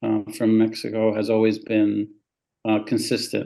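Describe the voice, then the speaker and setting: Talking at a fairly slow pace, a man's voice has a dark, mellow tone. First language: Spanish. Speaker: immigration lawyer. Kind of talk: podcast interview.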